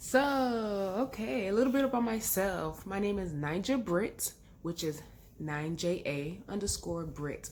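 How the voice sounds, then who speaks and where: An animated tone and very wide pitch swings fill a woman's medium-pitched speech. She talks at a fairly slow pace. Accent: American. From London, then Texas from age 12. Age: 30s. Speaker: vlogger. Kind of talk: casual chat.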